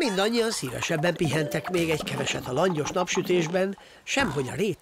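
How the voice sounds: This is a natural reading voice. It carries the clip from start to finish.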